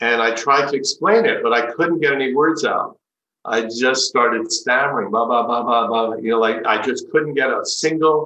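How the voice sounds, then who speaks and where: This man has a plain, everyday voice at a medium pitch, speaking at a moderate pace with ordinary pitch variation and very even loudness. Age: 60s. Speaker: spiritual teacher. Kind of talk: talk.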